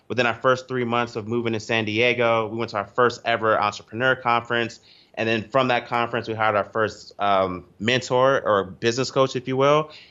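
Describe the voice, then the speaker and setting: With an American accent, a man speaks in a normal speaking voice at medium pitch and a fairly quick pace. His intonation stays fairly even, with hardly any pauses. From US East Coast. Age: 20s. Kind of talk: podcast interview.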